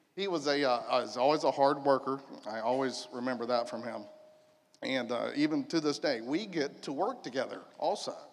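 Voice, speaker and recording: At moderate speed, a man talks in a normal speaking voice, his fairly high pitch showing ordinary pitch variation. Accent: American. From Polk County, Florida. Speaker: church panelist, stepfather. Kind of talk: panel discussion.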